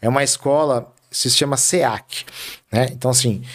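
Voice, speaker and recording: His pitch sits fairly high. The man has a normal speaking voice. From Brazil, Carapicuíba (São Paulo state). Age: 40s. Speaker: city councillor. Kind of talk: interview.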